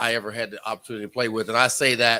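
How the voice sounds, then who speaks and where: A man speaks in an animated tone. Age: 60s. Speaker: former baseball player. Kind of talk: casual chat. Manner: animated storytelling.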